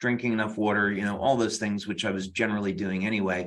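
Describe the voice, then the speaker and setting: A man speaks with a bright, sharp tone. His intonation stays fairly even. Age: 60s. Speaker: health product science expert. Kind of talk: webinar Q&A. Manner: halting, many fillers.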